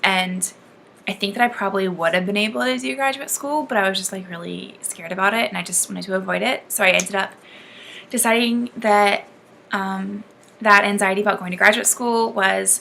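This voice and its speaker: Fairly quick delivery comes with pitch that shifts in an ordinary way. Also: woman, medium pitch for a woman. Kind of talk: casual talk to camera. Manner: fast.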